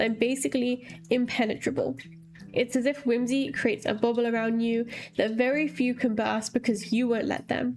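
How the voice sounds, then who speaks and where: Over background music, a woman talks at a fairly quick pace with a fairly high pitch. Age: 20s. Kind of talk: video essay talk to camera. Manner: fast.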